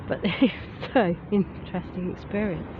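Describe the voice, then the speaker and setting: This woman's medium-pitched voice keeps fairly even intonation over noticeable background noise. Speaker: vlogger. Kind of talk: walking vlog. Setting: outdoors, walking through town.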